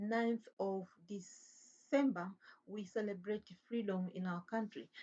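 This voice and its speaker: Somewhat breathy, a woman speaks at medium pitch with ordinary pitch variation. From Tanzania. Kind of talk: religious talk monologue. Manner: halting.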